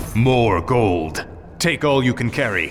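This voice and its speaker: Against clear background noise, a man performs a put-on character voice at a medium pitch and a fairly slow pace. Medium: video game.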